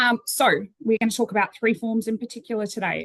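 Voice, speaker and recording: A woman talks at a very fast pace with an Australian accent. The sound is dry and close, with no echo. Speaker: cemetery trust general manager. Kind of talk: webinar presentation.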